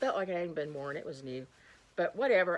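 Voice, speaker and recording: A loud voice in an animated tone. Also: woman. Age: old. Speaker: thrift reseller and YouTuber. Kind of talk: casual haul video chat.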